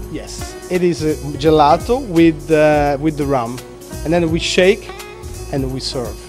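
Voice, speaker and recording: At a fairly slow pace a man speaks while clear music sounds behind him. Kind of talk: interview answer. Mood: relaxed, laughing at times. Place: bar. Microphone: handheld.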